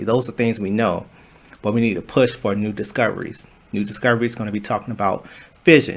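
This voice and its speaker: A medium-pitched man's voice, fairly quick, with fairly even intonation. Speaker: student presenter. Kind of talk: class presentation talk. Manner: fast; halting, with fillers and restarts.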